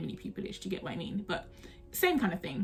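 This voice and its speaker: Very fast speech in a South London accent. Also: woman. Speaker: trainee solicitor and YouTuber. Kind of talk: casual storytelling vlog. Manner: conversational, chatty.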